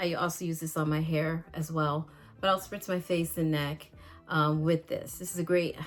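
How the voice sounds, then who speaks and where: Over music in the background, a woman speaks at a fairly low pitch in a monotone, flat delivery. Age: 60s. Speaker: beauty vlogger. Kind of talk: casual vlog tutorial. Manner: halting, many fillers.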